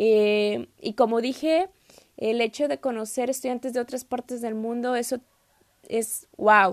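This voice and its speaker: Recorded very cleanly against a silent background, with a dry, close sound and no echo, a woman talks at a fairly slow pace in a fairly high pitch with ordinary pitch variation. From Mexico, Saltillo. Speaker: podcast host, exchange student. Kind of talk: solo podcast monologue. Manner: hesitant, many fillers.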